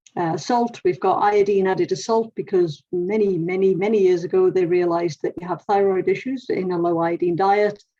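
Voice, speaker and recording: An English-accented woman with a dark, mellow tone and medium pitch speaks at a moderate pace, with fairly even intonation and hardly any pauses. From England. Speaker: nutritionist. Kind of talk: presentation talk.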